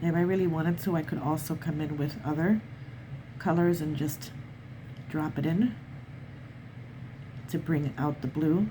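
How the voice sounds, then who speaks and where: Somewhat breathy and dark, mellow in tone, a woman speaks at a very deep, low pitch and a moderate pace, with ordinary pitch variation and long, frequent pauses. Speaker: watercolor artist. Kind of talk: art tutorial narration.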